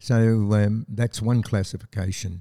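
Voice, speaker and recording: On a very clean recording with a silent background and a dry, close sound with no echo, a man with an Australian accent speaks in a dark, mellow tone. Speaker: army veteran. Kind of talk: interview.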